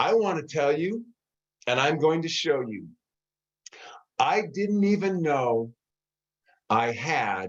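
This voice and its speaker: Lively intonation shapes this man's speech. His pace is fairly slow. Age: 60s. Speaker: health product presenter. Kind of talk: live online presentation. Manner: casual, conversational.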